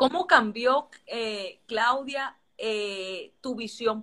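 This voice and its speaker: A woman's fairly high voice, bright and sharp in tone, with ordinary pitch variation. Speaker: interviewer. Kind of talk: interview.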